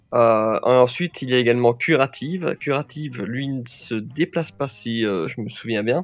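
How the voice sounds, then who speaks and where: A man speaks in a plain, everyday voice at a medium pitch with ordinary pitch variation. His pace is moderate, with hardly any pauses. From Belgium. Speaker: travel blogger. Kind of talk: casual chat.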